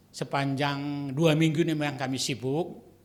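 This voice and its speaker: Audible room echo surrounds a man who speaks fairly slowly at a fairly high pitch. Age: 70s. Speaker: retired pastor. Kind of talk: sermon.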